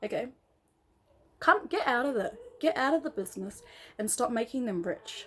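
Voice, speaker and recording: Speaking at a moderate pace with an Australian accent, a woman uses a high pitch and lively intonation. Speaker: vlogger, former MLM member. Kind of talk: casual vlog monologue. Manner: animated.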